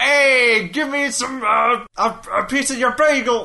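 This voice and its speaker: A gruff, female-sounding put-on character voice in a New York accent drawls at a very slow pace with a high pitch. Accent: gruff New Yorker. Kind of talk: casual, slangy. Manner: demanding, pushy.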